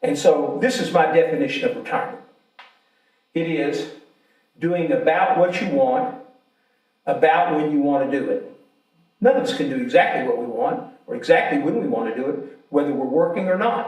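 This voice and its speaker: Speaking at a moderate pace with an American accent, a man leaves long, frequent pauses amid audible room echo. His high pitch makes very wide swings. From Alabama. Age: 70s. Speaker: insurance entrepreneur. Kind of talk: invited talk.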